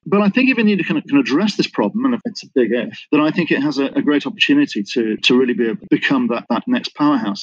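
Very wide pitch swings mark this very fast speech in a British accent. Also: man, high pitch for a man. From Britain. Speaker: business intelligence consultant. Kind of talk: interview. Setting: remote call from Singapore.

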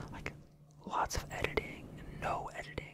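Speech at a moderate pace comes through loud background noise. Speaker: ASMR creator. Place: home room. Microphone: studio mic.

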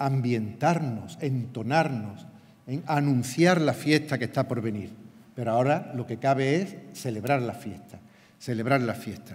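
Somewhat breathy, a man speaks at a fairly slow pace. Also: ordinary pitch variation. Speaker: parish priest. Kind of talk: homily-style blessing; formal speech at ceremony. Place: stage. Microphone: podium.

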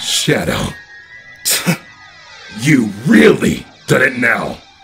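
A man uses a put-on character voice at a medium pitch. He speaks very slowly. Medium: dub. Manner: taunting, mocking.

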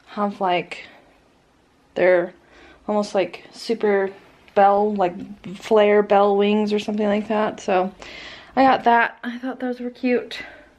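Pausing long and often, a woman speaks at a very slow pace with fairly even intonation. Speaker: vlogger. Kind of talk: casual vlog chat. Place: home room. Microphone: phone near.

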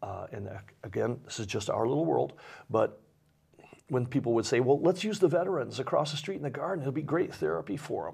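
Over a quiet background, a man with an American accent talks at a very fast pace in a fairly high pitch with vocal fry, very wide pitch swings, big swings in loudness, and long, frequent pauses. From Michigan, Waterford; Michigan. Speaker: nonprofit director; interview guest. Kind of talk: interview. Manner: halting. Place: studio.

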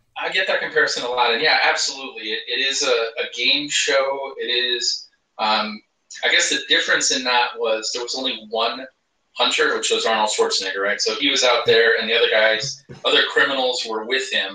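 There is audible room echo as this man speaks at a fairly quick pace. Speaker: guest. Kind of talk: interview answer. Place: home room.

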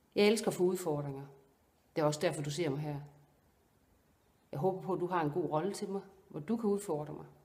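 A woman with a fairly low pitch and ordinary pitch variation talks at a fairly quick pace, with long, frequent pauses. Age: 50s. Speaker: actress; actor presenting herself. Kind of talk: self-presentation video; self-presentation to casting directors. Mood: earnest, warm, calm.

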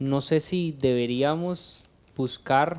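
The man's voice is fairly high in pitch and shows ordinary pitch variation. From Costa Rica, Cartago; Costa Rica. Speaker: podcast host. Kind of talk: casual interview. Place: home room. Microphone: studio mic.

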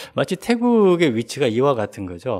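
A man with very wide pitch swings, over a quiet background. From South Korea. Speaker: professor. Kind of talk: academic discussant commentary. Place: classroom. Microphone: podium.

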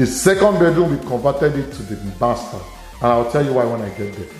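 Audible room echo surrounds a man's voice while faint music plays in the background. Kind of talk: casual property tour narration. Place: empty room. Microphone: phone near.

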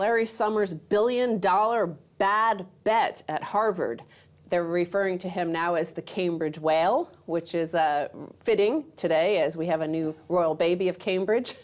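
This woman has an ordinary speaking voice, and her pitch rises and falls in an ordinary way. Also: medium pitch for a woman, fairly slow pace. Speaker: co-host. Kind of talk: casual discussion.

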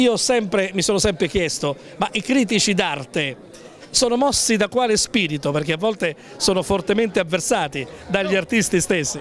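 Over light background noise, a man talks at a moderate pace in a high voice with lively intonation, very even loudness and a dry, echo-free sound. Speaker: TV reporter. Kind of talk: on-location interview. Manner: formal. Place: hall. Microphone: handheld.

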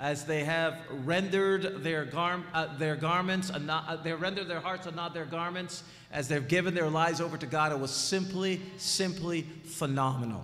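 Faint music plays in the background as a man speaks in a high-pitched voice. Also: fairly even intonation, moderate pace. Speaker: preacher. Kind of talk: sermon. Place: church. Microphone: podium.

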